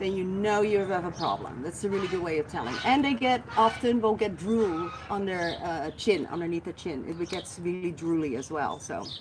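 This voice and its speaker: With a Dutch accent, the speaker uses an animated tone and lively intonation at a moderate pace, with hardly any pauses, over noticeable background noise. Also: woman, medium pitch for a woman. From Netherlands. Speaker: guinea pig rescuer and care expert. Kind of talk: live Q&A stream.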